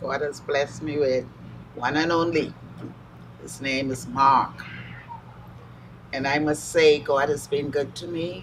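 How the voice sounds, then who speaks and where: Long, frequent pauses and big swings in loudness mark this speech, with noticeable background noise behind it. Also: woman, fairly slow pace. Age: 70s. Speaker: mother honored at church. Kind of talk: interview testimony.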